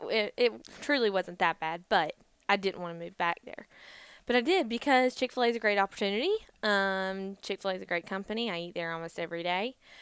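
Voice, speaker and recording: With a Southern US accent, a woman of medium pitch talks at a very fast pace with ordinary pitch variation and big swings in loudness, on a very clean recording with a silent background and a dry, close sound with no echo. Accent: Southern US (Georgia). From US South, Georgia (Gainesville, Vidalia). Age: 20s. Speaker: podcast co-host. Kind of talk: casual chat.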